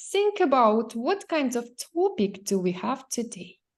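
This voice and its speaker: A woman with a Ukrainian accent, high-pitched with very wide pitch swings, at a fairly slow pace over a quiet background. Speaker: English teacher. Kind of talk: language lesson.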